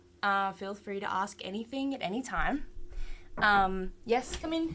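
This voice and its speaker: A woman with an Australian accent, bright, sharp tone, lively intonation and a fairly slow pace. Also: medium pitch for a woman. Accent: Australian, some. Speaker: 3D art instructor. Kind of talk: online class tutorial. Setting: live stream. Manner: casual, hesitant with many fillers.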